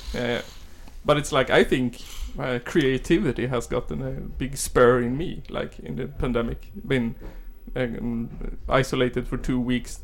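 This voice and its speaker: With a Swedish accent and a medium pitch, a man speaks at a fairly slow pace. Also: ordinary pitch variation. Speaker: podcast host. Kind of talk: interview.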